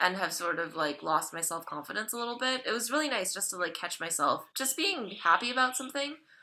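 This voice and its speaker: A woman's bright, sharp tone with very wide pitch swings. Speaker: vlogger documenting gender transition. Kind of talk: casual vlog update. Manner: fast; talkative, chatty.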